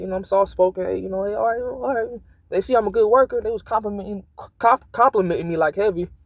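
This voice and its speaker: A man talks at a very fast pace in a high voice with ordinary pitch variation. The sound is dry and close, with no echo. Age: young. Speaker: vlogger. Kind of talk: casual monologue vent.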